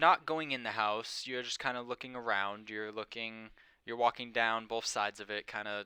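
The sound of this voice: Delivered in an unforced reading voice, the speech has fairly even intonation.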